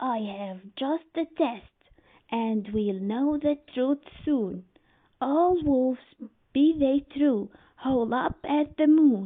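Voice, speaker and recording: A woman puts on a character voice that is creaky and wheezy, pitched high. She speaks at a very slow pace. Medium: read story.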